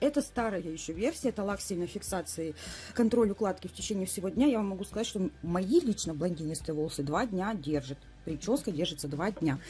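Somewhat breathy woman's voice with lively intonation and a fairly quick pace. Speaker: cosmetics distributor reviewer. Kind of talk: casual product review. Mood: enthusiastic, warm. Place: home room.

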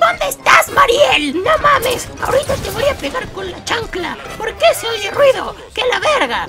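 The pitch sits extremely high. It is a put-on character voice. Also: moderate pace. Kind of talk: colloquial, crude. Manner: loud, nagging, scolding.

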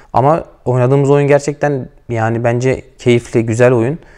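With a quiet background behind him, this man keeps to a moderate pace. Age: 20s. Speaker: professional footballer, team captain. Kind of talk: interview. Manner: hesitant, many filler sounds. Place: hall. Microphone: lapel.

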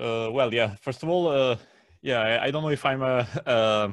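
A man with an Italian accent speaks with ordinary pitch variation, his voice dry with no echo against a quiet background. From Italy. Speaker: translator of natural law material. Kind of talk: interview conversation. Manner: halting with many fillers. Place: home room. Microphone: video call.

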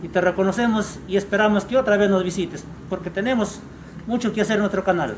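A high-pitched man at a fairly quick pace with fairly even intonation, over light background noise. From Peru, San Martín region. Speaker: rice farmers' leader. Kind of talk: public meeting speech. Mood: earnest, complaining. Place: street. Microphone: camera far.

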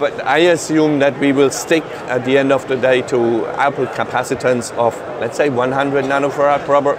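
There is clear background noise as a man talks at a medium pitch. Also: fairly even intonation, moderate pace.

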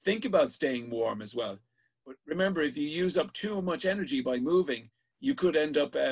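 Lively intonation carries speech in an Irish accent at a fairly quick pace. The background is quiet. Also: man. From Ireland. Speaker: sea safety instructor. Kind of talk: online safety class. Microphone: webcam.

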